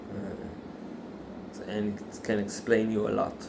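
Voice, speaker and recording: Someone with an Israeli accent speaks amid audible room echo. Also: man. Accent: non-native English, Israeli. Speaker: factory worker sharing religious views. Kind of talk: religious monologue. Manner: halting, many fillers.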